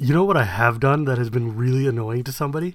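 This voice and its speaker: A man talks at a very fast pace, his medium pitch showing ordinary variation, in a very clean recording with a silent background. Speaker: podcast co-host. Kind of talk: casual banter about card game.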